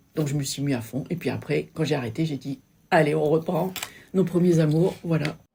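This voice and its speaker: A dark, mellow tone with vocal fry, ordinary pitch variation and a moderate pace. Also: woman, very deep, low pitch for a woman. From Sète, southern France. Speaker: local business owner and photographer. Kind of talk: interview. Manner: halting, many hesitations.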